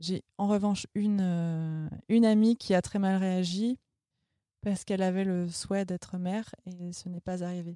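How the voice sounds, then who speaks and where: A woman speaks at a fairly slow pace in a medium pitch, with a dark, mellow tone and monotone, flat intonation. The recording is very clean with a silent background and a dry, close sound with no echo. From France, Vendée. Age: 30s. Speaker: podcast sound editor sharing sterilization experience. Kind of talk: testimony. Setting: studio.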